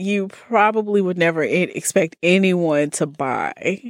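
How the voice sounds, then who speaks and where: Speaking at a very slow pace in an Alabama accent, the voice sounds dry and close with no echo on a very clean recording with a silent background. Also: woman. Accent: Southern US (Alabama). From US South, Birmingham, Alabama. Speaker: podcast guest. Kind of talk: casual interview chat.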